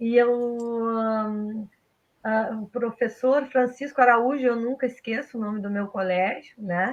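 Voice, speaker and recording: A woman speaks very slowly at a fairly high pitch. Her intonation stays fairly even. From southern Brazil, rural Pelotas area. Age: 50s. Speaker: technical school teacher. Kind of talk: casual interview.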